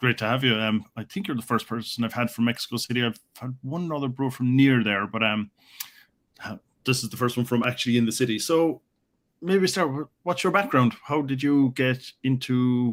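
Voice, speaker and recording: In a very clean recording with a silent background, a man with an Irish accent speaks at a fairly quick pace and medium pitch, with ordinary pitch variation. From Ireland. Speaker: podcast host. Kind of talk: interview.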